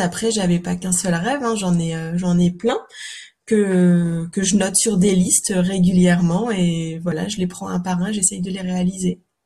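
Somewhat breathy and dark, mellow in tone, a woman's medium-pitched voice moves at a fairly slow pace with fairly even intonation. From Normandy, France (Calvados). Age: 30s. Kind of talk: interview. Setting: remote call. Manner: hesitant, many fillers.

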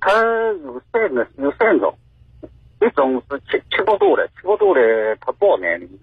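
A man speaks at a fairly slow pace with big swings in loudness and long, frequent pauses. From Huai'an, Jiangsu, China. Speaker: caller, father of accident victim. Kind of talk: phone-in testimony. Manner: halting.

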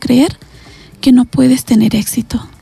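A woman speaks at a moderate pace with a high pitch. There is noticeable background noise. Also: dry, close sound with no echo. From Latin America. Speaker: psychologist or therapist. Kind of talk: guided meditation; interview.

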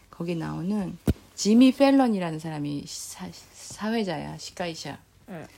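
Very slow in pace, the voice has a dark, mellow tone and lively intonation. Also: woman, fairly low pitch for a woman. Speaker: podcast host, Korean teacher. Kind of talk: casual chat.

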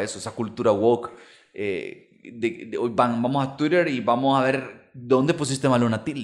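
A man with a Salvadoran accent talks at a medium pitch and a fairly slow pace. His pitch varies in an ordinary way. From El Salvador, Santa Tecla. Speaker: podcast co-host. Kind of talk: casual chat. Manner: halting.

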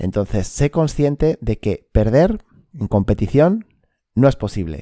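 A man speaks at a fairly slow pace with very wide pitch swings and a dark, mellow tone, recorded with a dry, close sound and no echo. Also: very clean recording, silent background. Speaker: sports psychology podcast host. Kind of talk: solo podcast monologue.

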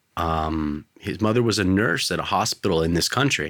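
A man speaks with an American accent at a moderate pace. He has a plain, everyday voice. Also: very clean recording, silent background. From California, US. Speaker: podcast host. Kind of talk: casual interview. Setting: studio.

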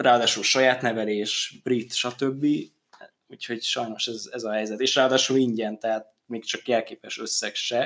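At a moderate pace, a man talks at a medium pitch with monotone, flat intonation. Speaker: football podcast host. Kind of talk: casual chat.

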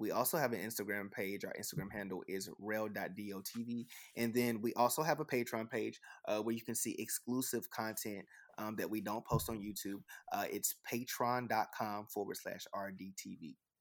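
With an ordinary speaking voice, a man talks at a medium pitch and a moderate pace with fairly even intonation, on a very clean recording with a silent background. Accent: American. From Texas. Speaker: YouTube music reactor. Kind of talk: casual interview chat.

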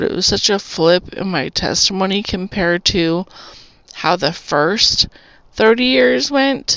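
In an American accent, a woman of medium pitch speaks fairly slowly with lively intonation over noticeable background noise. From Arizona, US (Tucson). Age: 40s. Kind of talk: testimony. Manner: casual, rambling with fillers.

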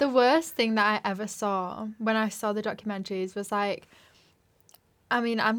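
Here a woman talks with a Yorkshire accent. Her pitch is fairly high, and her intonation is fairly even. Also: very clean recording, silent background. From West Yorkshire. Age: 20s. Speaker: journalism student and podcast co-host. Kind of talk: casual chat.

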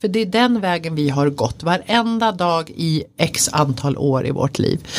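Against noticeable background noise, a woman's voice moves in very wide pitch swings. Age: 40s. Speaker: codependency coach. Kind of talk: casual chat.

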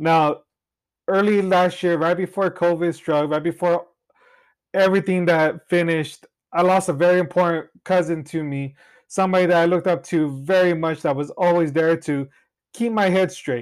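A man's high voice in an American accent, at a moderate pace with fairly even intonation. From Central Valley, California (Cutler). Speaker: realtor and insurance agent podcast host. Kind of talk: solo podcast monologue.

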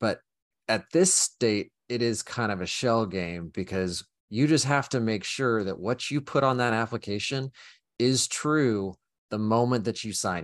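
In a quiet background, a man talks fairly slowly in a plain, everyday voice at medium pitch with ordinary pitch variation. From Oklahoma. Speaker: cybersecurity company representative. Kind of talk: casual chat.

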